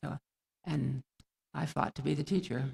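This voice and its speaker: A man's medium-pitched voice with vocal fry, dry and close with no echo. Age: 90s. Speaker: retired teacher, honoree. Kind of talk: commencement speech. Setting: graduation ceremony stage. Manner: halting.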